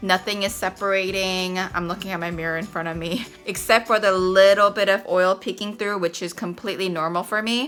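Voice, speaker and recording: A woman at a fairly quick pace with hardly any pauses and fairly even intonation, over music in the background. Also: medium pitch for a woman. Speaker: beauty vlogger. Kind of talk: product review vlog. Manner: casual, chatty.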